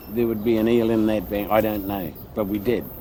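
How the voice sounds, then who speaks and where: A man at medium pitch with a New Zealand accent, over noticeable background noise and audible room echo. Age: 80s+. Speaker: local elder. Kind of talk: interview recollection.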